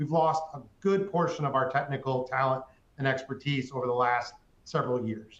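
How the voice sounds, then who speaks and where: A man's medium-pitched, somewhat breathy voice with ordinary pitch variation. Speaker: manufacturing company executive. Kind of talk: webinar presentation. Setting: webinar call. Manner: fast.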